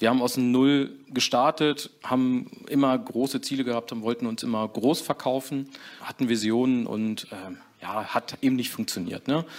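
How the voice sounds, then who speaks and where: At a moderate pace, a man with a plain, everyday voice talks at a medium pitch with fairly even intonation. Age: 40s. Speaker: co-managing director of a trade business. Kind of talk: interview.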